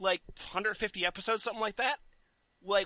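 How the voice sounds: Reading in a natural voice, the speaker keeps the intonation fairly even.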